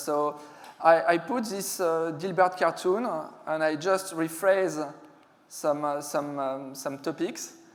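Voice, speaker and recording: A fairly slow pace with ordinary pitch variation, in a French accent. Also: man. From France. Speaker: security specialist, conference speaker. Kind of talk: conference talk. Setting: stage with audience. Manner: hesitant, many fillers.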